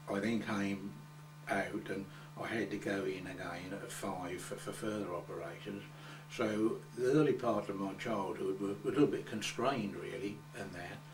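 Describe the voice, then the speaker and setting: With an Essex accent, a man talks at a fairly low pitch and a moderate pace, showing ordinary pitch variation amid audible room echo. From England, Coggeshall, Essex. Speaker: oral history interviewee. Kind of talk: oral history interview. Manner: halting, many repetitions.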